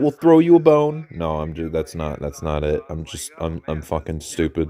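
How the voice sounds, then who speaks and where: Against a quiet background, a man with a dark, mellow tone talks at a moderate pace with very wide pitch swings. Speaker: toy reviewer reacting to reveal stream. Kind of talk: casual reaction commentary. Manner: animated; stammering.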